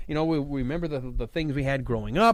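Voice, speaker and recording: Speech comes at a fairly quick pace. The background is silent and the recording very clean. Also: man. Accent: Midwestern US. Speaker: fill-in radio host. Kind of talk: casual talk radio chat. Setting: radio studio. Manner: animated, passionate.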